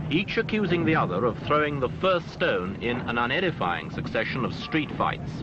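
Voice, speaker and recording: Very wide pitch swings at a moderate pace, very even loudness and hardly any pauses, over noticeable background noise. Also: man, fairly high pitch for a man. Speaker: newsreel narrator. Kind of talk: documentary newsreel narration.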